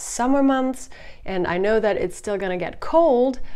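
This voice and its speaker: Woman's voice with lively intonation and a slight German accent. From Germany. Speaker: hiking vlogger. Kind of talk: Q&A vlog.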